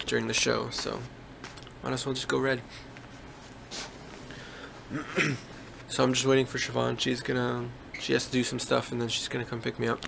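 A man speaks fairly quickly while noticeable noise sits in the background. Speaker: musician vlogger. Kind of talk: casual vlog chat. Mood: relaxed, laughing. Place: home room. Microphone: phone near.

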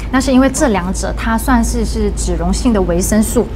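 Fairly quick speech from a woman, with noticeable background noise behind her. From Malaysia. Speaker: dietitian. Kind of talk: livestream health talk, casual chat. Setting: studio livestream. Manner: lively, laughs often. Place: studio. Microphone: lapel.

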